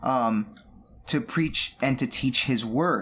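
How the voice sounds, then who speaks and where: An unremarkable speaking voice with an American accent, at a fairly slow pace. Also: man. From US, Southern California. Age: 30s. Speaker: musician and worship leader. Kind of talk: casual chat.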